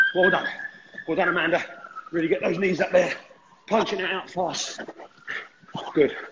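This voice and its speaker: A man's voice sits high in pitch, with noticeable noise in the background. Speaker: fitness instructor. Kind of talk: workout coaching. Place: home room. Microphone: camera far.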